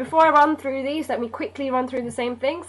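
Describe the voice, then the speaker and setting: This woman speaks with a high pitch. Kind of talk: casual educational revision talk to camera.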